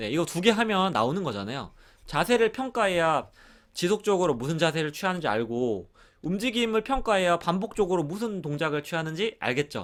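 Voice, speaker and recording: This man talks at a fairly quick pace in a high voice, with very wide pitch swings and an animated tone. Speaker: exercise instructor teaching a course. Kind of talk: lecture. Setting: online course recording.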